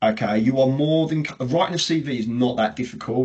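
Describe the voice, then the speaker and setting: With a British accent, a man speaks at a medium pitch and with fairly even intonation. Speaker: payroll recruitment consultant. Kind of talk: webinar presentation. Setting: video call webinar. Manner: fast.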